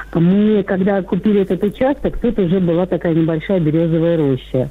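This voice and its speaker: Noticeable background noise beneath a woman's moderate pace. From Ivanovo region, Russia. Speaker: caller. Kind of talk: casual chat. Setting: phone call.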